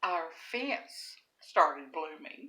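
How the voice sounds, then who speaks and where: A woman with a Southern US accent speaks in a bright, sharp tone. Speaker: storyteller. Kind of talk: casual storytelling.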